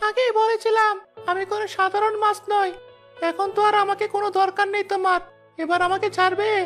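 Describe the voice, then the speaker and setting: Over faint background music, a cartoonish character voice at an extremely high pitch speaks at a moderate pace with monotone, flat intonation. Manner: calm, gentle.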